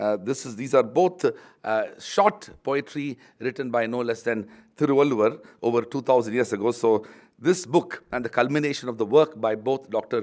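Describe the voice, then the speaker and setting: The speaker has a Tamil accent and ordinary pitch variation. The recording is very clean, with a silent background. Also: man, medium pitch for a man, moderate pace. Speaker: university vice chancellor, book launch speaker. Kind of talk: formal speech at book launch. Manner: formal, with frequent fillers.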